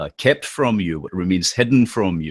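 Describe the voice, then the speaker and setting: In a strong Scottish accent, a man speaks with a fairly low voice and ordinary pitch variation, on a very clean recording with a silent background and a dry, close sound with no echo. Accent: thick Scottish. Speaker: political commentator and occult philosopher. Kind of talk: podcast interview. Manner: halting, many fillers.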